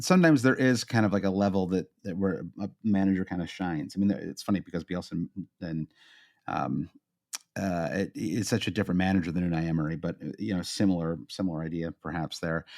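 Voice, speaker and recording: A man with a Midwestern American accent speaks at a fairly quick pace in a very deep, low voice, with ordinary pitch variation on a very clean recording with a silent background. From US Midwest. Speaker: podcast co-host. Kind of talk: casual chat. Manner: halting, many fillers.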